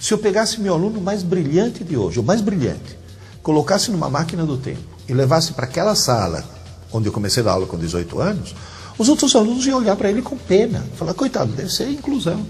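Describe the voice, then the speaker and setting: Music plays in the background, and audible room echo surrounds a man speaking at a very fast pace. His high voice makes very wide pitch swings. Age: 60s. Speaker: teacher. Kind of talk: interview.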